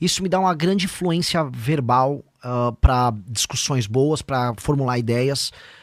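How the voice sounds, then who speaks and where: A man speaks at a fairly slow pace with hardly any pauses, at a medium pitch. His is a plain, everyday voice, with ordinary pitch variation. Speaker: presidential pre-candidate and internet personality. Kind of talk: podcast interview.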